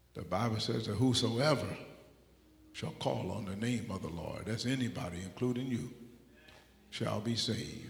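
A man speaks at medium pitch and a moderate pace, sounding somewhat breathy. Long, frequent pauses break up his speech. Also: ordinary pitch variation. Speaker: preacher. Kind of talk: sermon. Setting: church.

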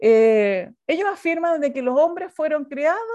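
A woman speaks with very wide swings in pitch. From Chile. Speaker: pastor and theology teacher. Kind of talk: online lecture.

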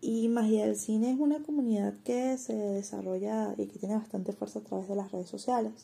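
With hardly any pauses, a woman talks at a fairly quick pace. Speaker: online community administrator and designer. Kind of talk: interview.

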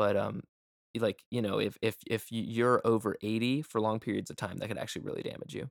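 A man speaks at a very fast pace with a medium pitch and ordinary pitch variation. The sound is dry and close, with no echo. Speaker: music producer podcast host. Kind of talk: casual chat. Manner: fast talker.

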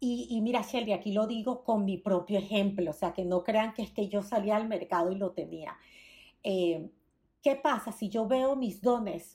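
A woman's somewhat breathy voice, dark and mellow in tone, at medium pitch with ordinary pitch variation and a moderate pace. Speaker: branding consultant. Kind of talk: interview conversation. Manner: forceful, dominant; passionate.

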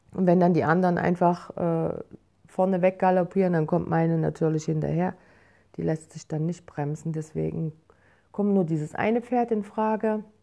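A woman with a dark, mellow tone speaks at a moderate pace, fairly low in pitch with ordinary variation. The background is quiet. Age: 50s. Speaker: podcaster and yoga enthusiast, works on a horse farm. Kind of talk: casual personal journal monologue. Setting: at home.

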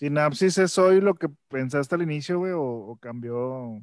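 This man has a normal speaking voice, medium in pitch, with lively intonation. He talks fairly slowly against a quiet background. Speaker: podcast co-host. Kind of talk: casual chat.

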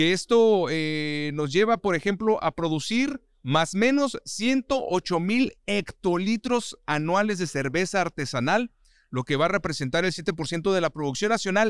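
Lively intonation and a high pitch mark this man's fairly slow speech. The recording is very clean, with a silent background and a dry, close sound with no echo. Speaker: podcast host. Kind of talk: casual interview.

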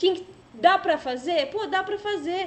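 The speaker is a woman. There is noticeable background noise throughout. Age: 20s. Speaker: online show host. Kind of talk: casual chat.

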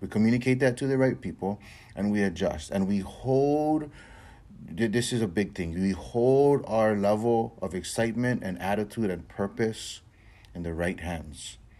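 A man talks at a moderate pace in a fairly low pitch. His tone is dark and mellow, with lively intonation. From Hawaii. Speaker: podcast host. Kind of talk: motivational monologue. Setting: recording in Hawaii.

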